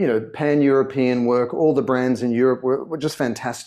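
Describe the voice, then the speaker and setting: Over a quiet background, a man with an Australian accent speaks at a fairly quick pace. His tone is dark and mellow, at a medium pitch with ordinary pitch variation. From Australia, Sydney. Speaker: brand consultant and author. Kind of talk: interview. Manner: conversational, some repetitions.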